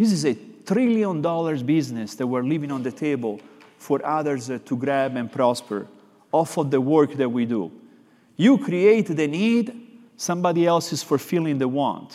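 Speaking with an Italian accent, a man delivers his words at a moderate pace in a fairly high pitch with a dark, mellow tone. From Florence, Italy. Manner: expressive, animated.

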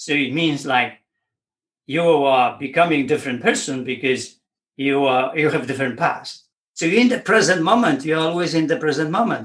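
This man has an unremarkable speaking voice, fairly high in pitch for a man, with lively intonation at a moderate pace. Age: 60s. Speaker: weightlifting coach. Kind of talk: interview conversation.

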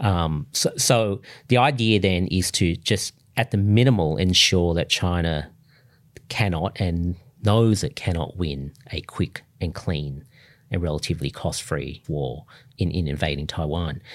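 Over a silent background in a very clean recording, a man with an Australian accent talks at a fairly slow pace, his very deep, low voice carrying lively intonation. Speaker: foreign policy scholar. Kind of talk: interview.

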